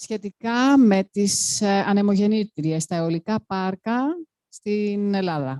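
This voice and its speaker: Her voice has a dark, mellow tone at medium pitch, with ordinary pitch variation. The woman speaks at a fairly slow pace in a dry, close sound with no echo. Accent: Greek. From Greece. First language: Greek. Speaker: panel speaker, activist. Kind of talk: panel talk. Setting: panel event with audience.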